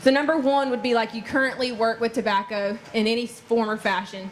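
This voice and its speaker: A woman with a Southern US accent at a fairly high pitch and fairly quick pace, her intonation fairly even, amid noticeable background noise. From North Carolina. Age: 20s. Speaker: farmer. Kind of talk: public talk.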